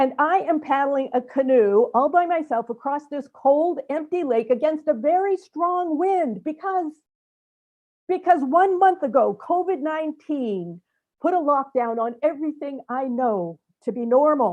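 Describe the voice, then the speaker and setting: Her pitch high and her intonation lively, a woman speaks at a fairly slow pace. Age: 70s. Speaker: storyteller. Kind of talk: storytelling presentation.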